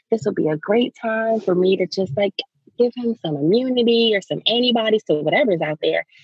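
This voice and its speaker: A somewhat breathy woman at a moderate pace, her pitch swinging very widely. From US Maryland. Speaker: lactation specialist. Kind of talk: casual interview chat.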